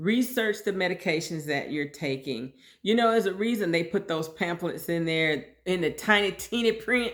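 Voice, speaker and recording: In a very clean recording with a silent background, a woman with a plain, everyday voice speaks at a medium pitch and moderate pace, with lively intonation and hardly any pauses. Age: 60s. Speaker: podcast host sharing personal health story. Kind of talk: personal monologue podcast. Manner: conversational, informal.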